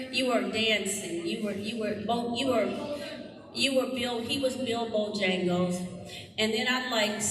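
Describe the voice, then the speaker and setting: A woman with an American accent at a fairly high pitch, fairly slow and with fairly even intonation, amid noticeable background noise and audible room echo. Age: 60s. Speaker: music teacher. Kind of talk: community event speech.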